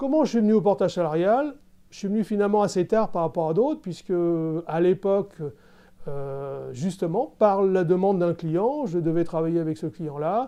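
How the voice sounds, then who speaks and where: Over a quiet background, a man speaks at a moderate pace with high pitch. His tone is dark and mellow, and his intonation is lively. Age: 60s. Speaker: engineering consultant. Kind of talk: testimonial interview. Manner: hesitant, many fillers.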